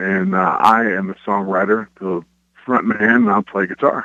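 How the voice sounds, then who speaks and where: A man with a Kentucky accent speaks in a monotone, flat intonation at a fairly low pitch. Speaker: rock band frontman and guitarist. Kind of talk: radio interview.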